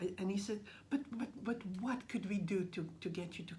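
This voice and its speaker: A woman speaks at a fairly quick pace with a Russian accent, her voice somewhat breathy against audible room echo. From Russian family, raised across Austria, Brazil and Canada. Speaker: language teacher. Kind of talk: interview. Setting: at a school. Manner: halting.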